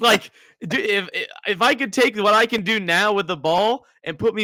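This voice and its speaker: Bright and sharp in tone, a man with an American accent speaks in a raised, projected voice, recorded very cleanly with a silent background and a dry, close sound with no echo. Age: 30s. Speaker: podcast host and soccer coach. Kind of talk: casual interview.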